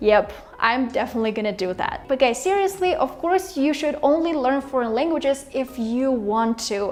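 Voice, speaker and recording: A woman with a Russian accent speaks at a moderate pace in a high pitch, with lively intonation and hardly any pauses. Noticeable background noise is present. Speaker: language-learning YouTuber. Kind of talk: casual vlog talk to camera. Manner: animated.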